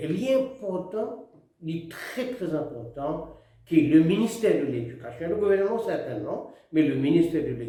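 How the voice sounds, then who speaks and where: A man's voice is pitched high. It rises and falls across a very wide range. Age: 80s+. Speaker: retired politician. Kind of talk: address to the nation.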